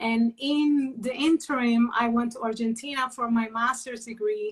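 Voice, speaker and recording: Fairly high female voice, intonation fairly even throughout. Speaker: criminal lawyer. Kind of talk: interview. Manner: hesitant in Portuguese.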